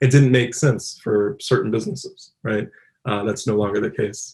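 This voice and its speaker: A man's medium-pitched, somewhat breathy voice at a fairly quick pace, with ordinary pitch variation. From Louisville, Kentucky. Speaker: robotics engineer, applied scientist. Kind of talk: conference talk. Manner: casual, many filler words.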